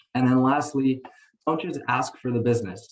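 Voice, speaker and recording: Talking fairly quickly, a man's voice comes across as somewhat breathy. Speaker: mortgage lender giving training to realtors. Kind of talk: webinar training presentation. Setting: online call.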